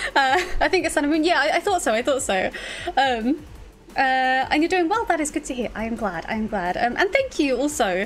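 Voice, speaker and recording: With a British accent, a woman speaks at a high pitch and a fairly quick pace. Her pitch swings very widely, and faint music plays in the background. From UK. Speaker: streamer. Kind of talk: casual chat. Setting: livestream. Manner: halting, many fillers. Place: home room. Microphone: studio mic.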